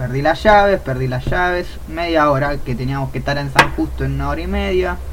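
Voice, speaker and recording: This man speaks at a moderate pace in a Rioplatense accent. Audible room echo surrounds his voice. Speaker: streamer, podcast co-host. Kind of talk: casual chat. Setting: live stream.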